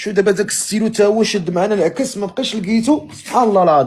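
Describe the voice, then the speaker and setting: A man with a Moroccan accent and a high pitch. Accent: Moroccan Arabic (Darija). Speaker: live-stream host. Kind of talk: casual chat.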